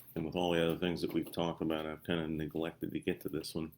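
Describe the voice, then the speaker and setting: A man with a very deep, low voice speaks in a strong Ozarks accent. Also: very clean recording, silent background. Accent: strong Missouri Ozarks. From Missouri. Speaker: doctor and health coach. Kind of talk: live-stream health talk. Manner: casual, halting with fillers.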